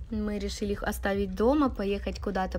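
Talking at a moderate pace, a woman is heard over light background noise. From Ukraine, Dnipro region. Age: 20s. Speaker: vlogger. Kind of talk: casual talk to camera. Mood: amused, nostalgic.

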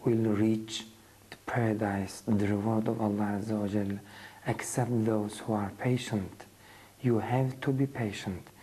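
Somewhat breathy and dark, mellow in tone, a man speaks at a fairly low pitch and a fairly slow pace. His intonation stays fairly even over light background noise. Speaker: religious lecturer. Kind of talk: lecture. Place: studio. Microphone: lapel.

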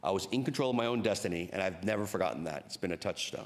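A man talks at a very fast pace with lively intonation. His pitch is low.

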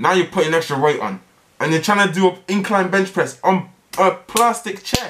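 A man at a moderate pace. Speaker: reaction video host. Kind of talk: casual reaction commentary. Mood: exasperated, amused. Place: home room.

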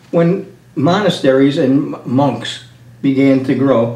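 A man is speaking. Room echo is audible. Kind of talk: teaching discussion. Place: home room. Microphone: camera far.

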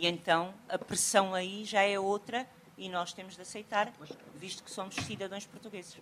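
Over light background noise, a woman talks at a moderate pace in a flat monotone with big swings in loudness. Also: medium pitch for a woman. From Portugal. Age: 40s. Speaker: sociocultural mediator. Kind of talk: conference talk. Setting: stage with audience. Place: hall.

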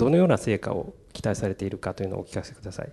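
The man's voice sits at a fairly low pitch with a dark, mellow tone. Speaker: journalist. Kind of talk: press conference question. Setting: press conference. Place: meeting room.

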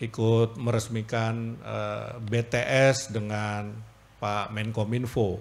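A man's monotone, flat intonation. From Jakarta. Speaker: government official giving speech. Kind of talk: formal speech. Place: hall. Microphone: podium.

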